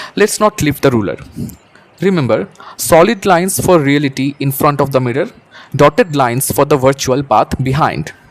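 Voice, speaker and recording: With noticeable background noise around a dry, close sound that has no echo, a man with a fairly high voice talks at a moderate pace using lively intonation. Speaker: teacher. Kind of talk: educational tutorial narration. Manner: soft-spoken.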